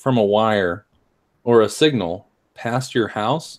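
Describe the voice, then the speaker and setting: A man is speaking. His pace is very slow. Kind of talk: casual chat.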